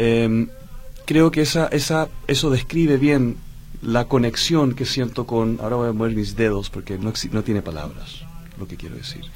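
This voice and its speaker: Medium-pitched male voice at a moderate pace with ordinary pitch variation. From Chile, Dutch mother. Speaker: singer. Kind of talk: radio interview.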